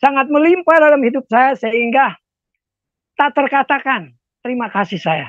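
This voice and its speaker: A man speaks at an extremely high pitch with lively intonation and a moderate pace, leaving long, frequent pauses. The background is quiet, and the sound is dry with no echo. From Indonesia, Jakarta (Ambonese family). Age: 70s. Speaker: former rock band vocalist, prayer minister. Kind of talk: testimony. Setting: video call. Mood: grateful, reflective. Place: home room. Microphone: earbuds.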